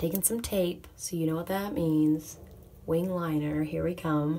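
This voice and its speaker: Soft-spoken and fairly low in pitch, a woman talks at a moderate pace. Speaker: makeup artist, beauty vlogger. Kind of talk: makeup tutorial. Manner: less expressive than usual.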